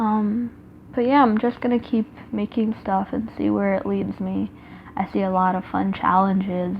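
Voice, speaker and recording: A woman speaks with medium pitch and fairly even intonation. Her voice is somewhat breathy. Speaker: artist and YouTuber. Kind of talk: casual talk while sketching. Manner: deliberately slower and calmer than usual; rambling with many fillers.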